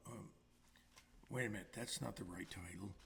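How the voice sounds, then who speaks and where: A man talks with lively intonation. His voice carries vocal fry. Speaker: singer-songwriter. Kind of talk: casual chat between songs. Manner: hesitant, filler-heavy.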